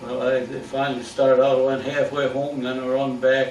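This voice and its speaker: A man's medium-pitched voice, flat and monotone in intonation, moves at a moderate pace against noticeable background noise. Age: 80s+. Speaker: retired barber. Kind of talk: life story told to family. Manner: rambling, halting.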